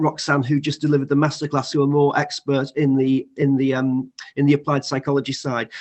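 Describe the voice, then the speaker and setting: This man has a northern English accent. His voice is fairly high in pitch. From northern England. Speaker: college teacher. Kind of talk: online panel discussion. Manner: halting.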